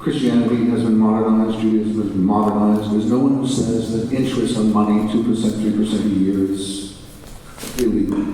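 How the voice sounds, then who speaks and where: A man with an American accent, fairly low pitch, fairly even intonation and a fairly quick pace, amid noticeable background noise and audible room echo. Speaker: panel speaker on religion and Islam. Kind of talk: conference panel answer.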